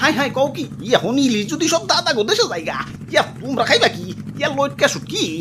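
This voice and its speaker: A cartoonish character voice rattles along at a fairly quick pace against loud background noise. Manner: repeats exclamations like "oh my father".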